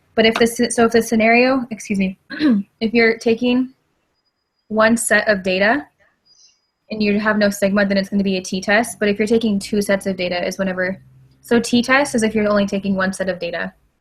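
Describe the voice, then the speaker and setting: A somewhat breathy woman with a fairly high pitch talks at a fairly quick pace in fairly even intonation, leaving long, frequent pauses. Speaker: student tutoring classmates. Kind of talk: casual study group explanation. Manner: halting, many fillers and restarts.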